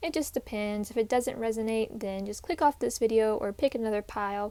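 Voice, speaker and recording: This woman talks at a fairly quick pace in a dark, mellow tone with ordinary pitch variation. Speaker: tarot reader. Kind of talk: tarot reading. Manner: halting, with restarts.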